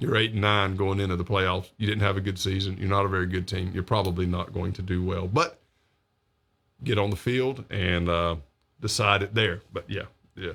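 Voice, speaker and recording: In a very clean recording with a silent background, a man uses an ordinary speaking voice, fairly low in pitch, with fairly even intonation at a moderate pace. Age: 50s. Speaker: local news show host. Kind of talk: live local news talk show monologue. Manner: casual, with many fillers.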